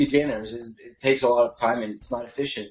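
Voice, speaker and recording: With noticeable background noise behind him, this man keeps a medium pitch and fairly even intonation while moving at a fairly quick pace. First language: French. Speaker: email copywriter, agency founder. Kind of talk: podcast interview. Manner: hesitant, many fillers and restarts.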